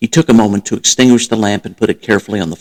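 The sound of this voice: An unforced reading voice moves with fairly even intonation.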